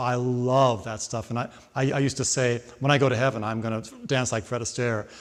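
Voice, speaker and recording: Here a man talks with fairly even intonation at a moderate pace. It is a normal speaking voice. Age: 60s. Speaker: singer and voice teacher. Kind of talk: interview.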